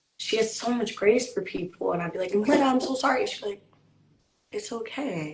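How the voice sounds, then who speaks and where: A woman speaks with an American accent. Her high voice swings very widely in pitch. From South Carolina. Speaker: poet and artist. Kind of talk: casual interview chat. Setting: call. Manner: fast.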